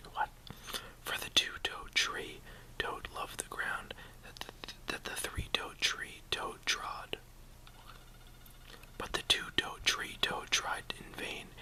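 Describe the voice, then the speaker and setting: Amid noticeable background noise, a man whispers at a very slow pace, with long, frequent pauses and big swings in loudness. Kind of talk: ASMR whisper reading of tongue twisters. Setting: mouth close to camera, casual home video. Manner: whispered, relaxing; chewing gum while speaking.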